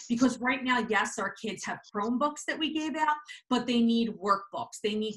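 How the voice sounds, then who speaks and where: Using a plain, everyday voice, a woman speaks at a moderate pace with a fairly high pitch. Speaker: school staff member. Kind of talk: presentation at virtual meeting.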